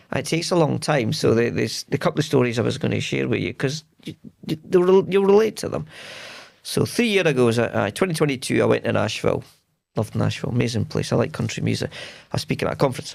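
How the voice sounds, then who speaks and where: Very fast, a man speaks with a Scottish accent. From Scotland. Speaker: tech leader, podcast guest. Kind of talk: casual interview chat.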